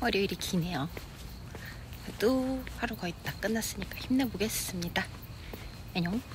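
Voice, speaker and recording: Over noticeable background noise, a woman at medium pitch speaks with lively intonation and long, frequent pauses. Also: moderate pace. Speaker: vlogger. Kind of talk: casual vlog talk.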